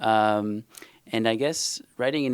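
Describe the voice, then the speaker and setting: A man speaks with an Israeli accent. His intonation is monotone and flat. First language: Hebrew. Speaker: novelist. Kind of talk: panel discussion. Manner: halting, many fillers.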